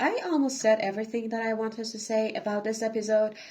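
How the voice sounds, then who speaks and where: A woman speaks with a non-native accent. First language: not English. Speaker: reaction youtuber. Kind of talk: casual reaction commentary. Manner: halting, repeats words. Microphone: no microphone, recorded on camera and phone.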